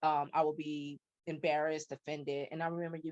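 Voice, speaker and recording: With a slight Chicago accent, a woman talks fairly quickly at a fairly low pitch, her sound dry and close with no echo. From US Midwest, South Side of Chicago. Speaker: podcast guest. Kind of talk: interview conversation. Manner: fast talker, words run together; hesitant with fillers.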